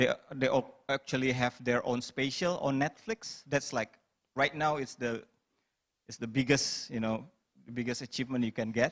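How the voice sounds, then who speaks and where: In an Indonesian accent, a man speaks at a moderate pace and a medium pitch. His intonation is fairly even, and the sound is dry and close with no echo. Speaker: stand-up comedian. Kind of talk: panel discussion.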